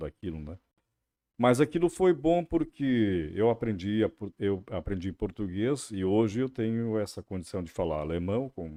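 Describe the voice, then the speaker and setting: The intonation is lively. The pace is fairly slow. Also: man. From Santa Catarina interior, Brazil (German-speaking family). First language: German (speaking Portuguese). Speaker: radio journalist and interviewer. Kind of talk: podcast interview.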